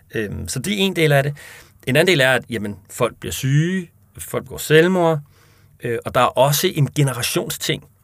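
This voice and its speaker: Lively intonation carries the fairly slow-paced speech. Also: man, fairly high pitch for a man. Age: 30s. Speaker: chair of a monetary reform association. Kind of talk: interview. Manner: hesitant with fillers.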